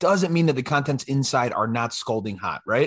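Speaking at a fairly quick pace with an American accent, a man with a plain, everyday voice and fairly high pitch uses lively intonation over a quiet background. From Illinois, US Midwest. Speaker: podcast co-host. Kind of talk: casual chat.

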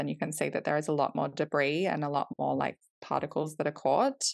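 A woman with an Australian accent, very deep, low pitch, and a fairly quick pace, against a quiet background. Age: 30s. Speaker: company co-founder. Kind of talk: casual interview.

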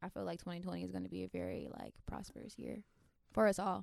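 This is a woman speaking. She has a Florida accent. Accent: Southern US (Florida), noticeable. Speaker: podcast host. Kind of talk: casual comedic chat.

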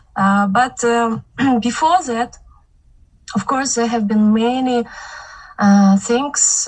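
A woman speaks at a very slow pace in a nervous tone with ordinary pitch variation, over noticeable background noise. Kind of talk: testimony. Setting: video call.

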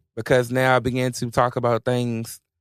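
Here a man talks at a moderate pace in a medium pitch with an American accent. He has a plain, everyday voice, recorded dry and close with no echo. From rural Virginia. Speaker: R&B singer.

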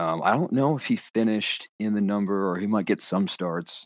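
In an American accent, a man with a very deep, low pitch talks at a fairly quick pace. The recording is very clean, with a silent background. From North Carolina. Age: 20s. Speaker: golf caddie and podcast host. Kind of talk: casual chat.

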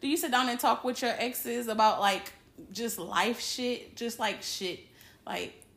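Fairly slow pace, ordinary pitch variation, an animated tone and vocal fry. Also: woman, fairly high pitch for a woman. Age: 30s. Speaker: podcast host. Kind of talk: casual chat.

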